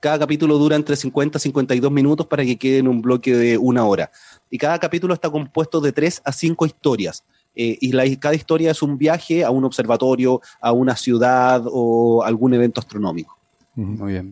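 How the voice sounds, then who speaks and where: A man with a Chilean accent talks at a fairly quick pace in a medium-pitched, dark, mellow voice. His pitch varies in an ordinary way, and the sound is dry and close with no echo. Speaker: science communicator, TV series presenter. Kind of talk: casual chat.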